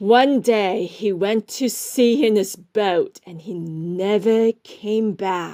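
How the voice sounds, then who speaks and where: Putting on a character voice, a woman speaks at a very slow pace in a medium pitch, with ordinary pitch variation and hardly any pauses. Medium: read story. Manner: gruff.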